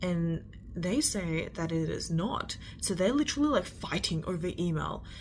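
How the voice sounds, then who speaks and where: A woman talks with an Australian accent at a moderate pace. Her intonation is lively. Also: fairly low pitch for a woman. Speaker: storyteller. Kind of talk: storytime. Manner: slurred words.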